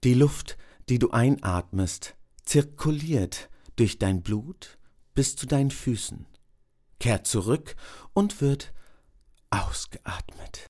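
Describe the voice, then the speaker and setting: In a very clean recording with a silent background, a man with a dark, mellow tone speaks somewhat breathily at a very slow pace with long, frequent pauses. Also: fairly high pitch for a man, lively intonation. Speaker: meditation guide. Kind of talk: guided meditation, body scan. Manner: slow, calm, soothing with long pauses; soft-spoken, gentle.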